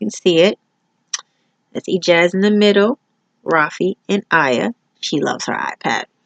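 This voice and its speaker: A medium-pitched woman's voice with an American accent, moderate pace, long and frequent pauses, and big swings in loudness. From New York. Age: 30s. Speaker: student. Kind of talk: self-introduction video. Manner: casual, with filler words.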